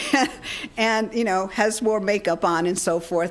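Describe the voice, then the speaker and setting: A woman with an American accent, ordinary pitch variation, and noticeable background noise. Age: 60s. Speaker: healing technology researcher and speaker. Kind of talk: seminar talk. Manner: conversational, with many fillers and repetitions.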